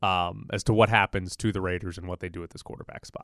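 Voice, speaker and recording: A man speaks at a fairly quick pace. The recording is very clean with a silent background, and the sound is dry and close with no echo. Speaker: radio sports host. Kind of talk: sports radio banter, riffing with co-hosts. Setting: studio. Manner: quick, joking, jumps in and finishes others' lines; animated, sarcastic, extended-metaphor comedy.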